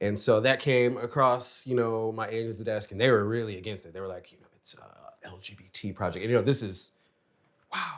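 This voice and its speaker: Moderate pace from a man of medium pitch, big swings in loudness, and ordinary pitch variation. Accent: Chicago. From US Midwest, Chicago. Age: 50s. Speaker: actor. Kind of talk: casual chat.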